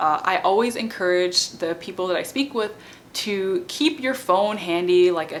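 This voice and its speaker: With ordinary pitch variation, this woman talks at a medium pitch. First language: not French; French is her non-native language. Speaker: bilingual parenting educator and PhD student. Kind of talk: informal educational talk to camera. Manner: conversational with many fillers (um, like).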